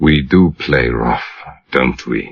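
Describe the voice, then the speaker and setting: In a put-on character voice, a man sounds husky, growling and hissing, very deep and low in pitch, with ordinary pitch variation. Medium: read story. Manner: sneering tough-guy talk.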